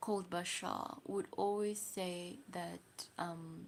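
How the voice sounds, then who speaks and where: In a South African accent, a woman speaks at a medium pitch. Her pace is very slow. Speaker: livestreamer. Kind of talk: casual livestream chat.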